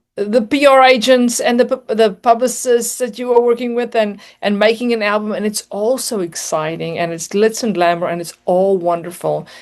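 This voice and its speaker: A woman's fairly high voice in a South African accent, with ordinary pitch variation and a moderate pace. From South Africa, near Johannesburg. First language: Afrikaans. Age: 40s. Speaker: singer and motivational speaker. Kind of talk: interview testimony.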